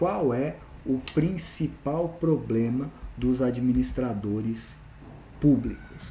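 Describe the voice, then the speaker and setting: A man of medium pitch and ordinary pitch variation speaks very slowly with long, frequent pauses in a dark, mellow, somewhat breathy tone. Audible room echo surrounds his voice. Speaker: university lecturer. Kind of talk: recorded lecture.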